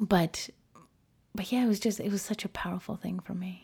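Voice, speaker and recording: A woman with an American accent speaks at a medium pitch, sounding somewhat breathy. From United States, Peruvian family. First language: Spanish. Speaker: gender issues professional. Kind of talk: interview conversation. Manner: halting with many fillers.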